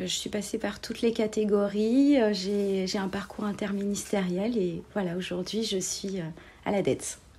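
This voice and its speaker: This woman's voice is somewhat breathy, with a dark, mellow tone. She speaks at a fairly slow pace with fairly even intonation. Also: medium pitch for a woman. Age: 40s. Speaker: civil servant. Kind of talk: interview. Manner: hesitant, many fillers.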